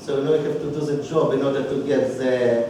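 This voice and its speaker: Amid noticeable background noise and audible room echo, a man with a fairly high voice speaks at a fairly quick pace with fairly even intonation. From Belarus (Minsk). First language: Russian. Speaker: toastmasters club member giving speech. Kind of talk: prepared personal speech. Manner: halting, with hesitations.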